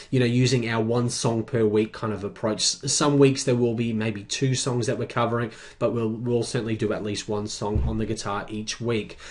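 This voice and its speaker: Over a quiet background, a man speaks with an Australian accent. His pitch is medium and his pace fairly quick. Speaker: guitar teacher. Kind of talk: sales pitch for course. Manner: casual, many fillers.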